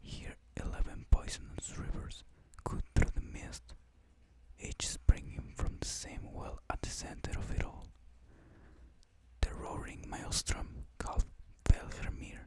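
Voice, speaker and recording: Someone whispers at a fairly slow pace, with long, frequent pauses. Noticeable background noise is present. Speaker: ASMR reader / content creator. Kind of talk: ASMR mythology story reading. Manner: whispered, soft-spoken.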